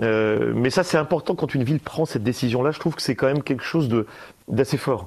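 At a fairly quick pace, a man with a medium pitch speaks with ordinary pitch variation. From Valence, Drôme, France. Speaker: radio host. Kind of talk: casual chat. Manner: halting, repeats words.

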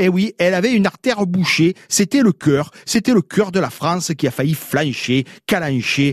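Lively intonation and an animated tone mark this man's high-pitched speech, which has hardly any pauses and a dry, close sound with no echo. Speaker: radio chronicler of local words. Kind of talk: radio chronicle.

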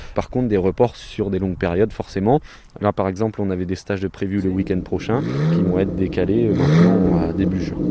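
Noticeable background noise runs under a voice that moves at a fairly quick pace with ordinary pitch variation. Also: man, very deep, low pitch for a man. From France, Mayenne. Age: 20s. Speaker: driving instructor and entrepreneur. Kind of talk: radio interview.

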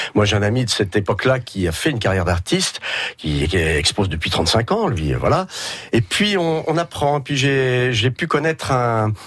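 A man speaks at a moderate pace with a medium pitch, very wide pitch swings and vocal fry. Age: 50s. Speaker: painter. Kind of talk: radio interview.

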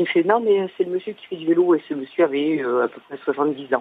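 Her voice is fairly low in pitch, with ordinary pitch variation. The woman speaks at a fairly quick pace. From southern France (Hérault). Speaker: caller. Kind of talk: casual chat. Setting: phone call.

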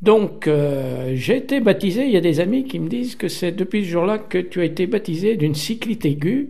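At a moderate pace, a man with a high pitch and a dark, mellow tone speaks with lively intonation. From Saint-Étienne, Loire, France. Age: 70s. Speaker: cycling enthusiast and geographer. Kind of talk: personal storytelling.

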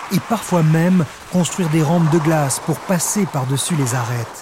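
A man speaks with a fairly high pitch and ordinary pitch variation. His tone is dramatic. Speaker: podcast narrator. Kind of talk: history documentary narration. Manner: measured, storytelling tone; vivid, dramatic.

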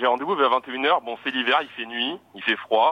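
A normal speaking voice from a man, fairly high-pitched and with ordinary pitch variation. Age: 20s. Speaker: caller. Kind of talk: anecdote.

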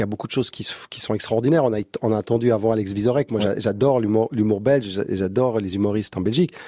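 A man's medium-pitched voice with a dark, mellow tone and ordinary pitch variation, very fast, in a dry, close sound with no echo. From Switzerland, Montreux. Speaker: comedy festival founder. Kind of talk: interview. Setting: studio.

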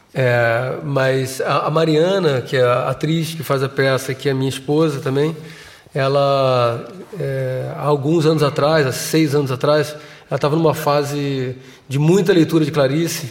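This man's voice sits fairly high and moves at a fairly slow pace with fairly even intonation. Noticeable background noise runs behind him. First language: Portuguese (speaking French). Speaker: theatre director. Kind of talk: interview. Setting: studio with live audience. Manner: halting.

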